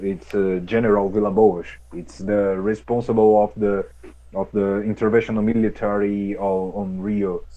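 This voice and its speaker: A man's fairly low, dark and mellow voice with a Brazilian Portuguese accent, monotone and flat in intonation, at a moderate pace. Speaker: activist. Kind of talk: interview. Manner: halting.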